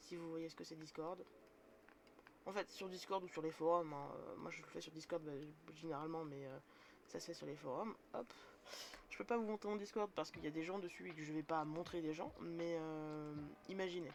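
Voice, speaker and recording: Against noticeable background noise, a woman with a fairly low voice talks at a moderate pace with ordinary pitch variation and long, frequent pauses. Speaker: streamer teaching tabletop role-playing. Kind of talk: live stream tutorial. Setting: live stream. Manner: casual, hesitant.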